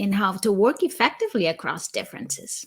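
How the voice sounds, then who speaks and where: Recorded very cleanly over a silent background, a woman talks at a medium pitch with a somewhat breathy quality. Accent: Brazilian. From Brazil. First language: Portuguese. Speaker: cross-cultural consultant. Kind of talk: live stream interview. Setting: LinkedIn live stream.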